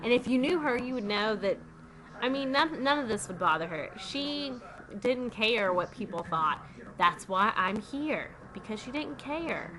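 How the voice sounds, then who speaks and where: A woman with a Southern US accent speaks at a fairly slow pace and fairly high pitch, her pitch swinging very widely. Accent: Southern US country. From US South. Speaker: vlogger. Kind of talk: casual vlog monologue.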